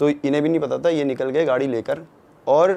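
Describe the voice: With vocal fry and a dark, mellow tone, a man talks at a fairly quick pace in a fairly even intonation.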